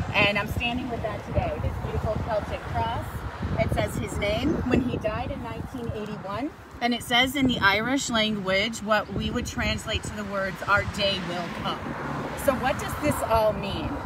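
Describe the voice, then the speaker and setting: A woman with a fairly high pitch speaks at a moderate pace with ordinary pitch variation. Audible room echo and noticeable background noise surround her voice. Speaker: paranormal and history tour guide. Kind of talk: live outdoor talk to camera. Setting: outdoors at a monument in a traffic circle. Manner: loud.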